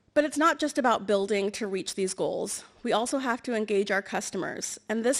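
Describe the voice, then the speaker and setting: A woman talks at a fairly quick pace. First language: Amharic or Tigrinya (English is second language). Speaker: government energy official, award recipient. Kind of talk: award acceptance speech. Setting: stage with audience. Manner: formal.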